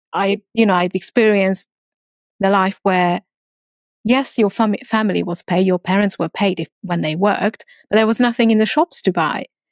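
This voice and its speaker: A dry, close recording with no echo carries speech at a moderate pace with ordinary pitch variation. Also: woman, medium pitch for a woman. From Transylvania, Romania (ethnic Hungarian). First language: Hungarian. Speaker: entrepreneur. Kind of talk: interview.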